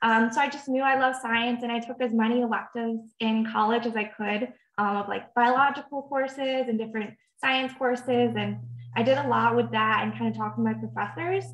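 An ordinary speaking voice from a woman, fairly quick in pace, with fairly even intonation. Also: fairly high pitch for a woman. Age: 20s. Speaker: communications intern. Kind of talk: panel discussion. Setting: online video call.

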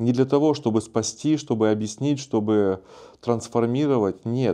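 A man's dark, mellow voice at a fairly slow pace, with ordinary pitch variation, over a quiet background. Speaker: video blogger on spirituality and self-development; video blogger on spirituality. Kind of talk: casual monologue answering viewer comments. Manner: calm, relaxed. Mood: calm, warm, relaxed. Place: studio. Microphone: lapel.

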